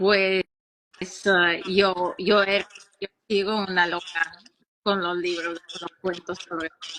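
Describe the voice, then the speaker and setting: Very slowly and with long, frequent pauses, a woman with a Russian accent speaks in a flat monotone at medium pitch, her loudness swinging widely in a dry, close sound with no echo. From Ukraine, Odessa. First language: Russian (speaking Spanish). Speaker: children's author and philologist. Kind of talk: interview. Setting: live stream.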